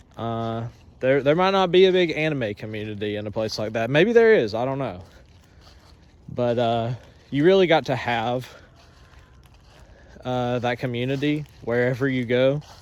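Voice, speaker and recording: With a rural Southern US accent, a man speaks at a medium pitch with ordinary pitch variation and long, frequent pauses. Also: moderate pace. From US South, North Georgia mountains. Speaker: anime shop owner. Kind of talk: casual monologue. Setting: outdoors, on a walk. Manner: halting, many fillers.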